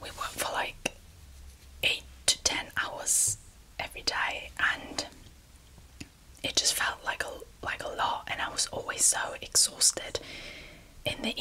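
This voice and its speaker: Someone whispers in a relaxed tone at a fairly slow pace, with long, frequent pauses and noticeable background noise. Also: woman. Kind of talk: ASMR storytelling. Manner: soft-spoken, relaxed, conversational.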